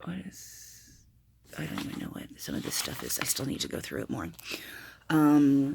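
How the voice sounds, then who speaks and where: Mumbling at a moderate pace, a woman leaves long, frequent pauses. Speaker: planner and notebook video maker. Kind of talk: casual show-and-tell video.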